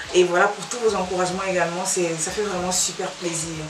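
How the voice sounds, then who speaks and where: A woman's medium-pitched voice at a moderate pace with fairly even intonation, amid audible room echo and noticeable background noise. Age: 30s. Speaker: vlogger. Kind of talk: casual Q&A monologue to camera.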